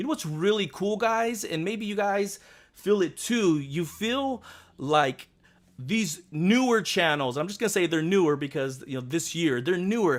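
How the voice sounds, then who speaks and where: A loud, animated man with a high pitch and lively intonation, at a fairly slow pace, in a very clean recording with a silent background. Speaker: YouTube fan-theory host. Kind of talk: live stream casual chat.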